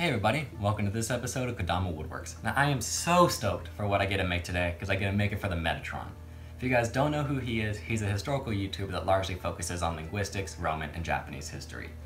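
Faint music plays behind a man who talks very fast at a fairly low pitch. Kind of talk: casual vlog chat. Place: workshop.

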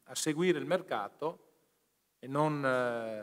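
A man speaks with ordinary pitch variation over a quiet background. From Veneto, northern Italy. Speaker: pension fund president; speaker. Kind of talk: formal speech. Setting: conference hall. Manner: halting, many fillers. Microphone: podium.

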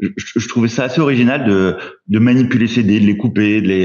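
A man is heard against a quiet background. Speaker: award jury head explaining rules. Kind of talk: casual group discussion about board games. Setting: live stream, video call. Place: home room. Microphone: video call.

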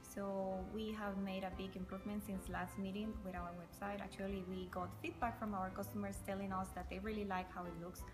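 A woman with a Spanish accent speaks at a fairly quick pace. Clear music plays in the background. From Costa Rica. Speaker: coffee company owner. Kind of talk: interview answer. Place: factory. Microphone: camera far.

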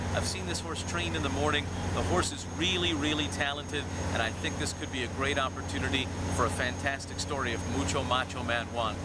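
A man at a fairly quick pace, with a dry sound, no echo, and loud background noise. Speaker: horse race caller. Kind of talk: interview answer. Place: street. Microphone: phone near.

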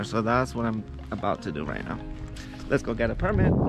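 Clear music runs in the background. Over it, a man talks. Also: dry sound with no echo. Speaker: travel vlogger. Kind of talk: casual vlog chat. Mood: excited, a bit spooked. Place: open country. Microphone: phone near.

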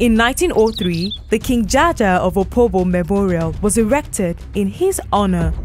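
A woman's fairly slow speech plays over music in the background. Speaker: voice actor. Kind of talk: radio documentary narration. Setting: radio broadcast.

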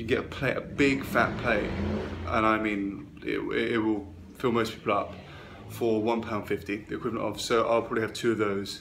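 A man's normal speaking voice, fairly low in pitch, with fairly even intonation at a moderate pace over light background noise. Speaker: traveller vlogger. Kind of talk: casual vlog chat. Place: home room. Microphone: phone near.

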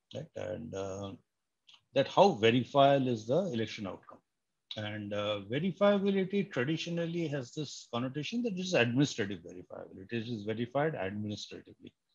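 A man talks at a fairly quick pace, somewhat breathy. His pitch swings very widely and his loudness in big swings. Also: quiet background. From India, Bengal. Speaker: computer science professor. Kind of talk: lecture. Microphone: webcam.

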